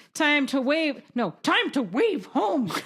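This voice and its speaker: This put-on character voice has a high pitch and moves at a fairly slow pace. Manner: playful, pretend.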